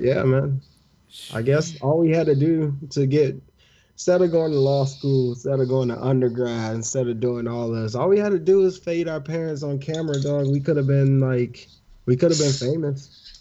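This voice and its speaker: A man's fairly high voice with a dark, mellow tone, moderate pace and ordinary pitch variation. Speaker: podcast co-host. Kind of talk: casual chat.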